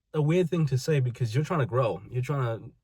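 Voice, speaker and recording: A man's dark, mellow, somewhat breathy voice at a very fast pace, with ordinary pitch variation, in a very clean recording with a silent background. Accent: British. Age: 20s. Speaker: vlogger. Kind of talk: personal monologue.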